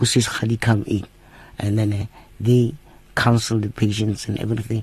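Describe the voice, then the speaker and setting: A man's somewhat breathy voice with flat, monotone intonation. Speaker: medical doctor. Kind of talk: radio interview. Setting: in studio.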